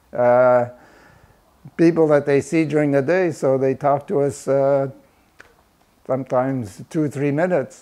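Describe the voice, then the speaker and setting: This voice has a French Canadian accent, a dark, mellow tone, very even loudness and long, frequent pauses. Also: man, fairly high pitch for a man, fairly even intonation, fairly slow pace. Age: 70s. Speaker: community volunteer. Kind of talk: interview. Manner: hesitant, many fillers.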